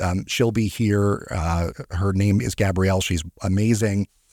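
Heard in a dry, close sound with no echo on a very clean recording with a silent background, a man speaks at a moderate pace and a fairly low pitch with fairly even intonation, in a plain, everyday voice. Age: 40s. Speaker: financial advisor and podcast host. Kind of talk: casual solo podcast talk. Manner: filler-heavy, with frequent ums and repetitions.

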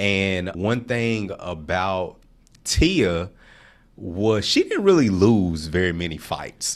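A man's very deep, low voice with an American accent and fairly even intonation, on a very clean recording with a silent background. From Nashville, Tennessee (US South). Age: 40s. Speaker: entrepreneur. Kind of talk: interview.

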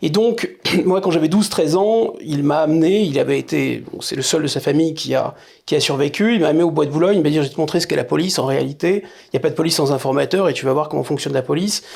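A man's fairly high voice with vocal fry, ordinary pitch variation and a very fast pace. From France, Paris suburbs. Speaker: political scientist and essayist. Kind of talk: interview.

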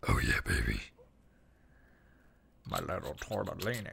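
A man's put-on character voice at a moderate pace. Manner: gruff, amorous.

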